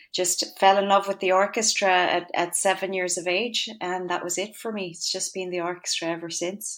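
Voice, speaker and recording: Speaking at a moderate pace, a woman keeps a medium pitch and monotone, flat intonation. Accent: western Irish. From Ireland, County Galway (west). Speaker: composer and conductor. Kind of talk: interview.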